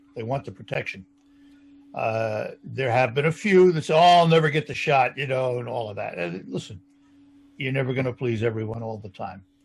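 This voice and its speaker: A man with a somewhat breathy, medium-pitched voice speaks at a fairly quick pace, with lively intonation and big swings in loudness. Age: 70s. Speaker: radio talk show host. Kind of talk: interview.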